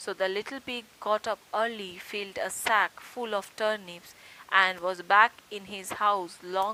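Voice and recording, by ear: With fairly even intonation, a person reads out loud in a natural voice.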